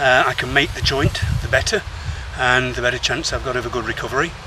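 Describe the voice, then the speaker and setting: Noticeable background noise sits behind this man. He talks at a very fast pace with a medium pitch. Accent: English. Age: 60s. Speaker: triathlete vlogger. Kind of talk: vlog monologue. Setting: outdoors, on a run. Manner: halting.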